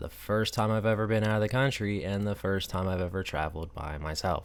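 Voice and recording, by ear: Speaking with an American accent at a moderate pace, a man has a low pitch.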